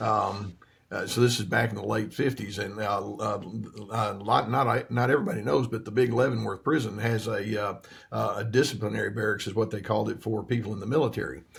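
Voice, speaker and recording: Speaking at a fairly quick pace, a man with an American accent shows vocal fry and ordinary pitch variation. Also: fairly low pitch for a man. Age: 70s. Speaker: therapist. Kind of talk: interview. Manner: halting, many fillers and repeats.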